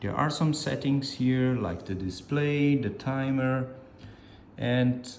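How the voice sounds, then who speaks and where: A man talks at a very slow pace. The room echo is audible. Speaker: product reviewer. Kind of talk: product review. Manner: halting, with self-corrections.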